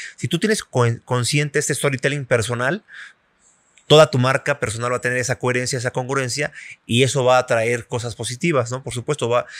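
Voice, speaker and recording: Against a quiet background, a man talks at a fairly quick pace with fairly even intonation in a dry sound with no echo. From Mexico. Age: 40s. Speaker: journalist and former magazine editor; journalist. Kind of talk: interview conversation. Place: cafe. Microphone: studio mic.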